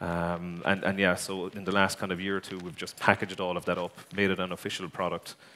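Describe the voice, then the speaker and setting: A man speaks fairly quickly with an Irish accent, his very deep, low voice bright and sharp in tone. His intonation is monotone and flat, on a very clean recording with a silent background. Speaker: tech company executive. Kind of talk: conference talk. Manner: hesitant, many fillers.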